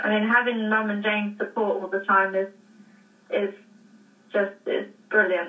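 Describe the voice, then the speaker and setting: With an American accent, a woman speaks in a fairly high voice and fairly even intonation. Noticeable background noise runs underneath. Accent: English, picking up some American. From England. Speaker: jockey. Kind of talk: interview. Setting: phone call.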